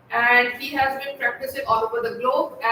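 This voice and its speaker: Over noticeable background noise, a woman uses a raised, projected voice at a moderate pace. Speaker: host. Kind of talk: interview host.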